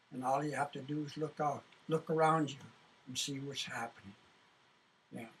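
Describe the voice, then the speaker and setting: A man with a somewhat breathy, fairly high voice speaks at a moderate pace with fairly even intonation and long, frequent pauses. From Canada, British Columbia First Nations reserve. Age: 70s. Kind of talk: interview testimony. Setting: studio. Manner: halting, repetitive.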